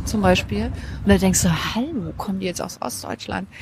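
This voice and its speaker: Noticeable noise fills the background as a woman talks at a moderate speed. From Thuringia (Weimar), born in Halle. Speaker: media researcher. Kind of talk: casual chat. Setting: outdoor café.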